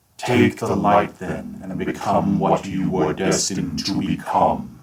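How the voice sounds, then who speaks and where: A man's put-on character voice, fairly low in pitch, at a fairly slow pace. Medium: read story. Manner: solemn, grand.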